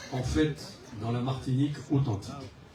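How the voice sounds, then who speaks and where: A man speaks very slowly, with audible room echo and noticeable background noise surrounding him. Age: 70s. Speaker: local election candidate, retired executive. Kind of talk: public self-introduction speech. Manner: hesitant, many fillers.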